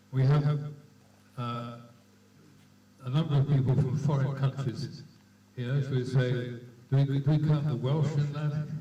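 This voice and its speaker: Monotone, flat intonation from a man at a fairly high pitch, at a moderate pace, with audible room echo. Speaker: club official chairing annual meeting. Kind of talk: address at club annual general meeting. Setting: hotel meeting room with audience. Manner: raised voice, shouting to room without mic. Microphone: microphone distorting a lot.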